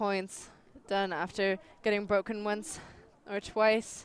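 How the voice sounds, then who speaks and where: Someone with a German accent talks at a fairly slow pace with fairly even intonation. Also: woman. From Austria. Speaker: sports commentator. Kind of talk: live commentary. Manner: halting.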